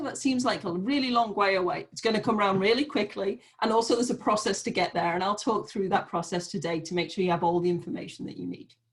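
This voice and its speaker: The speaker talks very fast in a British accent. The intonation is lively. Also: woman. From Great Britain. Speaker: nonprofit program manager. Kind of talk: online information session.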